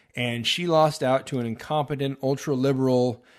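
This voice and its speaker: In a quiet background, a man with a Texan accent speaks at a medium pitch with ordinary pitch variation. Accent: Texan American English. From Texas. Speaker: podcast host. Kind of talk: political commentary monologue. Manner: hesitant, many filler uhs.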